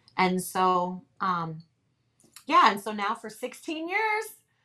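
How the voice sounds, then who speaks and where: Bright and sharp is how this woman's tone comes across. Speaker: ministry leader and author. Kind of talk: personal testimony in interview.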